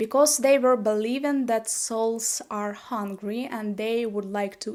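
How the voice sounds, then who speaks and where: With a strong Slavic accent, a woman speaks at a fairly slow pace. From Ukraine. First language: Ukrainian. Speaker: YouTuber. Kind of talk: casual vlog talk. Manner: halting, with fillers.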